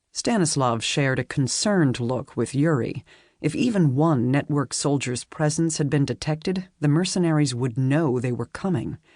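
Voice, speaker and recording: A woman's very deep, low voice at a moderate pace, with ordinary pitch variation over a quiet background. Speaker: audiobook narrator. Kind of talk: audiobook narration.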